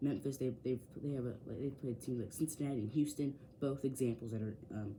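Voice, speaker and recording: A man speaks with a dark, mellow tone and ordinary pitch variation. His voice is somewhat breathy. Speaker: sports YouTuber. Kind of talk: casual bracket predictions. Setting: home man cave near window. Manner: fast; hesitant with fillers.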